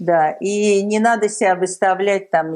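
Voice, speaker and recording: This woman talks at a fairly slow pace. Her tone is dark and mellow, with ordinary pitch variation. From Soviet Union. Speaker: tech entrepreneur. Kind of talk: interview. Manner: hesitant, many fillers.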